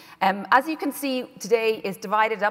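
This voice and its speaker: Against noticeable background noise, a woman with an Irish accent speaks in a fairly high pitch. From Ireland. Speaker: conference host, broadcaster. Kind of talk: conference moderation. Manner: hesitant fillers (um, uh).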